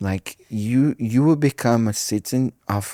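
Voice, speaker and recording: A man with a Brazilian Portuguese accent, medium pitch and ordinary pitch variation, dark, mellow tone, dry, close sound with no echo, very clean recording and a silent background. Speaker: pastor. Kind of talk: casual chat. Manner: halting.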